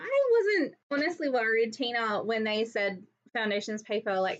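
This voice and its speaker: In an Australian accent, a woman talks at a fairly quick pace. Her voice is fairly high in pitch. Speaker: crafting YouTuber. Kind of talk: live crafting tutorial. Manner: fast; casual, with many fillers.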